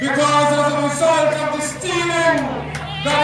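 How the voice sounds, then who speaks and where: A man speaks at a fairly slow pace. Room echo is audible, with crowd noise behind him. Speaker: speaker. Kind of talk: political rally speech. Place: street.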